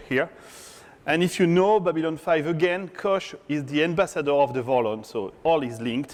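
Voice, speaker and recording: A man with a French accent talks at a moderate pace in a high voice. His pitch swings very widely. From France. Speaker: tech conference speaker, software developer. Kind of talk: conference talk. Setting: stage with audience.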